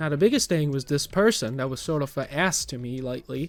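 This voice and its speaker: With music in the background, a man with an American accent talks very fast at a fairly high pitch and with lively intonation. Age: 20s. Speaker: vlogger, warehouse worker. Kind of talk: personal vlog rant. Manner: halting, many fillers.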